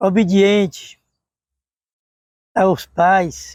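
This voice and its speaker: The speaker is a man with a high pitch. His sound is dry and close, with no echo. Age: 70s. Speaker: retired university staff member. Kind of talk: oral history interview.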